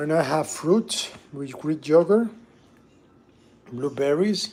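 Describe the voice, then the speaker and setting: Over noticeable background noise, a man with a Spanish accent speaks at a very slow pace, his fairly high pitch showing ordinary variation. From Venezuela. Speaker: musician and livestreamer. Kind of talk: casual livestream cooking chat.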